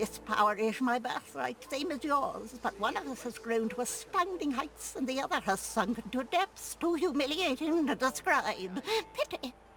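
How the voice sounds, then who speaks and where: Put-on guttural character voice at a moderate pace with hardly any pauses, over clear background noise. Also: woman, high pitch for a woman. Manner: haughty, pitying.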